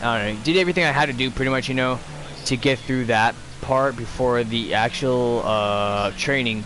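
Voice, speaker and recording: A man at medium pitch with an American accent, moderate pace and ordinary pitch variation, over noticeable background noise. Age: 20s. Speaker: gaming livestreamer, army veteran. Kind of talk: casual livestream chat. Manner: halting, many fillers.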